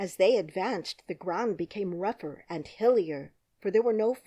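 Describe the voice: Against a quiet background, the passage is given as plain reading aloud.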